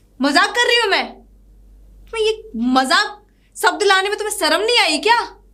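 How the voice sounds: Using a put-on character voice, a woman talks at a fairly quick pace at an extremely high pitch, bright and sharp in tone, with lively intonation.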